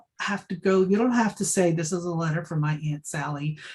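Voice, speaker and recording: A woman's somewhat breathy voice with a dark, mellow tone, ordinary pitch variation and a moderate pace. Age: 60s. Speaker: archivist and librarian. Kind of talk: talk with Q&A. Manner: casual, filler-heavy.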